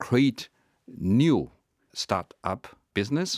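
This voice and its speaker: A man with a Chinese accent and very wide pitch swings, in a very clean recording with a silent background and a dry, close sound without echo. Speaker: diplomat. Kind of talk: interview. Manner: halting with many fillers.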